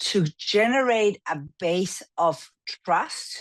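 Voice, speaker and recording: A woman speaks in an Argentine accent. Her intonation is lively. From Argentina. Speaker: business coach. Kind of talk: interview.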